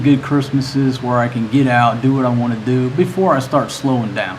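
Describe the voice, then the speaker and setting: Amid noticeable background noise and audible room echo, a man with a medium pitch talks at a fairly quick pace in a monotone, flat intonation. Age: 50s. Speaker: livestream host, news commentator. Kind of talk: casual livestream commentary. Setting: live stream. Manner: halting, repeats words.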